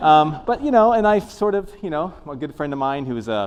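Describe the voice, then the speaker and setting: With an American accent, a man speaks with very wide pitch swings. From Alabama, US South. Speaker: professor. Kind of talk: lecture. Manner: casual, hesitant with fillers.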